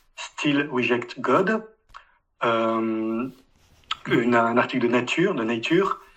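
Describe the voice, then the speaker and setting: A man's voice at a medium pitch. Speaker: atheist commenter. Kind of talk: closing statement.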